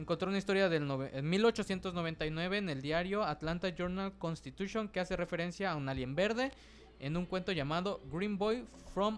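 Pitched high, a man speaks at a moderate pace with an ordinary amount of pitch variation. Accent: Mexican. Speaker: podcast co-host. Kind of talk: casual chat.

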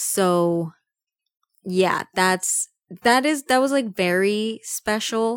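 Very slowly and at very even loudness, a woman with a fairly high pitch speaks with long, frequent pauses and ordinary pitch variation, in a very clean, dry, close recording with no echo and a silent background. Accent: Spanish. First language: Spanish. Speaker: podcast host. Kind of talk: casual chat.

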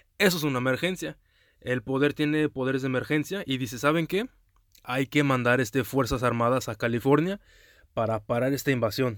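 Ordinary pitch variation and a moderate speed mark this very clean recording, its background silent. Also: man. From US, Texas. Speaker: correspondent. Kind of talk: commentary.

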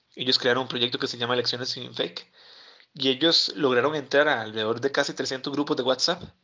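This man talks at a fairly quick pace, with fairly even intonation and a medium pitch. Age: 20s. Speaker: journalist and fact-checker. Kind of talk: interview. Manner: halting, frequent repetitions and fillers.

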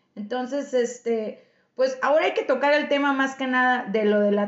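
A woman speaks at a fairly slow pace with a Mexican accent. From Mexico. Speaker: podcast host and Spanish teacher. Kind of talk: casual chat.

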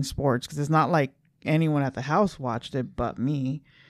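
A woman's very deep, low voice carries an American accent and ordinary pitch variation. She keeps a moderate pace in a very clean recording with a silent background. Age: 40s. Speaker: podcast co-host. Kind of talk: casual chat.

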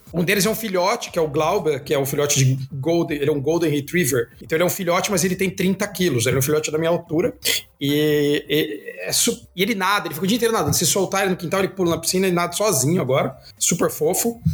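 A man's high voice at a very fast pace, very even in loudness, with ordinary pitch variation and noticeable background noise. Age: 40s. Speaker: design professor and product head. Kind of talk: casual interview chat.

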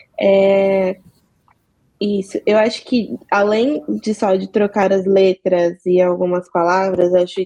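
A woman speaks with a dark, mellow tone at a medium pitch. Her intonation is monotone and flat, and the sound is dry and close with no echo. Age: 20s. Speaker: communications professional. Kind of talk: panel discussion.

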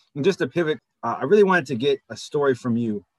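A man speaks in a plain, everyday voice at a fairly quick pace, with lively intonation. The sound is dry and close, with no echo. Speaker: podcast co-host. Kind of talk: interview.

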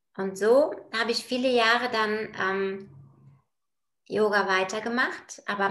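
A woman speaks at a fairly slow pace with a medium pitch. Her intonation is fairly even, and the room echo is audible. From Bulgaria. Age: 40s. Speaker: project manager in construction, yoga practitioner. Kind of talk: casual interview. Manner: hesitant, many filler sounds.

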